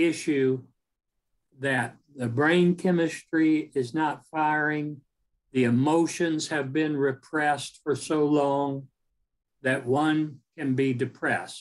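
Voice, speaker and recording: A man's fairly high voice, fairly even in intonation, at a very slow pace. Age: 70s. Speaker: self-help author. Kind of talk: talk on his book; reading aloud from own book.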